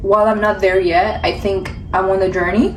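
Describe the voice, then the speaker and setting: Amid noticeable background noise and audible room echo, a woman talks at a fairly quick pace with monotone, flat intonation. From Ethiopia. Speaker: vlogger and aspiring model. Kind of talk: vlog talk to camera. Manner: fast.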